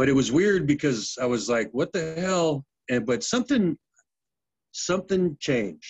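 A man speaks at a moderate pace with very wide pitch swings. His voice is somewhat breathy, and his loudness stays very even. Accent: American. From US, Navy family. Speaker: former pro football player. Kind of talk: casual chat.

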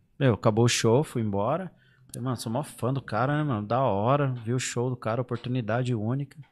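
Here a man talks fairly quickly at medium pitch in an unremarkable speaking voice. The recording is very clean, with a silent background. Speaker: YouTuber on emigrating to Europe. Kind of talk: casual chat.

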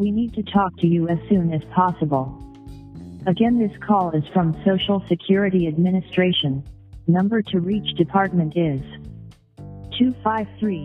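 In a put-on robotic character voice at a middle pitch, the speaker goes at a moderate pace over clear background music. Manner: flat, mechanical.

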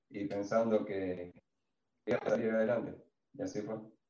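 A man speaks at a moderate pace and medium pitch. His tone is dark and mellow. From Argentina, Santa Fe province (Villa Constitución area). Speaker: shoe designer and retail investor. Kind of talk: casual chat, personal testimony.

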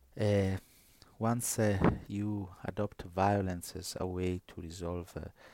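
With an Italian accent, a man speaks in a very deep, low pitch with a dark, mellow tone. His intonation is monotone and flat in a very clean recording with a silent background. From northern Italy. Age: 50s. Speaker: priest and New Testament scholar. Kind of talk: interview conversation. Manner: halting, many fillers.

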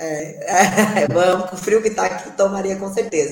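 A woman talks fairly slowly, her intonation lively. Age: 40s. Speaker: podcast co-host, physical education professional. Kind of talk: casual chat.

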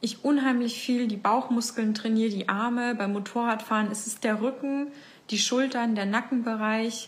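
A woman's fairly high, monotone, flat voice at a moderate pace, with audible room echo. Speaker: life coach and podcast host. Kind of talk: facebook live talk to community. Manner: casual, with many fillers.

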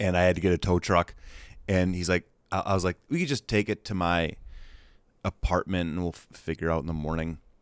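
A man's very deep, low voice with an American accent, at a fairly quick pace with long, frequent pauses, in a dry, close sound with no echo and a very clean recording over a silent background. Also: fairly even intonation. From Wisconsin, US Midwest. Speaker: actor and comedian. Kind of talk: casual chat.

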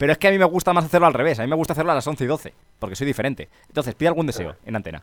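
In an animated tone, a man with vocal fry talks very fast at a fairly high pitch with lively intonation. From Spain (Ávila). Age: 20s. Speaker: radio host. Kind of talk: call-in radio show.

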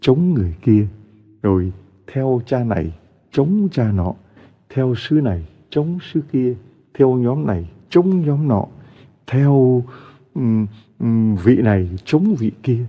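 A man at a medium pitch with very wide pitch swings, a very slow pace and long, frequent pauses. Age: 60s. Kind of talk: sermon.

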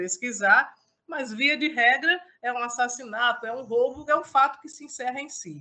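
At a moderate pace, a woman with a high pitch and a bright, sharp tone swings very widely in pitch. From interior of Paraíba, Brazil. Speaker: political journalist. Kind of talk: interview. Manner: hesitant, many repetitions.

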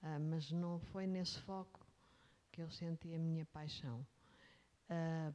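Speaking at a very slow pace with fairly even intonation, a woman with a European Portuguese accent has a fairly low pitch and a dark, mellow tone. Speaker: executive search consultant. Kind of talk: interview. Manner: halting.

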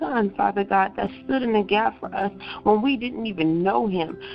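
Lively intonation at a moderate pace over noticeable background noise. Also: woman. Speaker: prayer team member. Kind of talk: fervent prayer. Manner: fervent, repetitive, rhythmic cadence.

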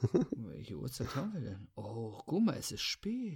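This man's pitch sits fairly high. There is a somewhat breathy quality to his voice. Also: very clean recording, silent background. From Weserbergland, Lower Saxony. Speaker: podcast host. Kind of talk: casual chat.

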